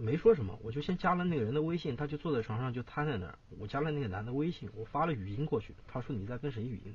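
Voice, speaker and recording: A man's very fast, somewhat breathy speech at a medium pitch, with lively intonation and hardly any pauses. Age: 20s. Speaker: caller. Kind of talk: phone-in confession about breakup. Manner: quiet. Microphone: too far from the mic.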